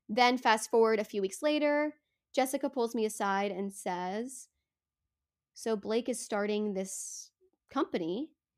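Long, frequent pauses break up a fairly slow pace with ordinary pitch variation, in a very clean recording with a silent background. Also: woman, fairly high pitch for a woman. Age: 20s. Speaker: podcaster and wellness startup founding member. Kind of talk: casual interview.

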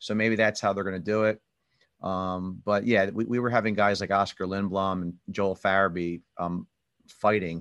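Against a quiet background, a man with a normal speaking voice talks at a fairly low pitch with fairly even intonation. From US Northeast, Philadelphia area. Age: 50s. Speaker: hockey podcast host. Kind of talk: casual chat.

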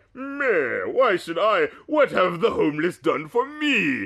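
Using a put-on character voice, a man pitches himself extremely high. His delivery is fairly slow. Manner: dismissive, mocking villain voice.

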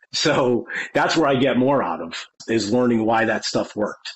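In an American accent, this is an ordinary speaking voice with ordinary pitch variation at a moderate pace. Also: man. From Connecticut, US. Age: 40s. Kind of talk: casual interview chat.

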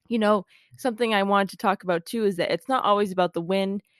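A woman's normal speaking voice, fairly quick, with fairly even intonation and a dry, close sound with no echo. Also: quiet background. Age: 20s. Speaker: podcast host, PR professional. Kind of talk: casual interview and solo talk.

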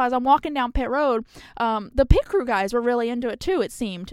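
A woman with a high voice and an American accent speaks at a fairly quick pace, using ordinary pitch variation. The recording is very clean, with a silent background. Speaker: motorsports journalist. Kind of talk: casual chat.

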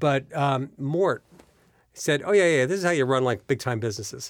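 Medium-pitched male speech, an unremarkable speaking voice with ordinary pitch variation. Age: 60s. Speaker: business executive and investor. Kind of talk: interview. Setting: studio.

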